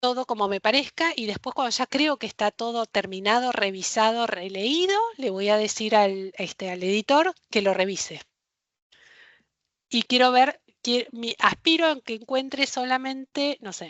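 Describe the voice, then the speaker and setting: A woman with a Rioplatense accent speaks at a fairly high pitch with lively intonation. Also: fairly slow pace. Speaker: librarian workshop instructor. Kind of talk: online workshop lecture.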